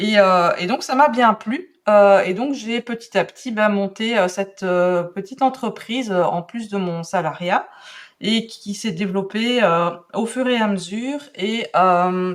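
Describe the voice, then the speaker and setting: With a Belgian accent, a woman talks very slowly in a medium-pitched voice with ordinary pitch variation. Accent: Belgian French, noticeable. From Belgium. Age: 40s. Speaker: calligraphy and drawing teacher. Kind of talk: podcast interview. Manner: hesitant, many fillers.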